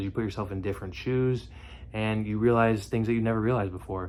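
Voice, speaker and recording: The pace here is very fast. A man talks at a fairly low pitch with fairly even intonation. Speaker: vlogger. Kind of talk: casual monologue rant. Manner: halting, stumbles over words.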